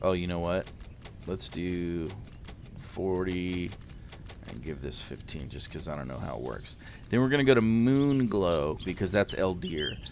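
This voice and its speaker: With audible room echo, the speaker moves at a fairly slow pace, leaving long, frequent pauses, with big swings in loudness and very wide pitch swings. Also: man, very deep, low pitch for a man. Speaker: gaming youtuber. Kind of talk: tutorial. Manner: casual.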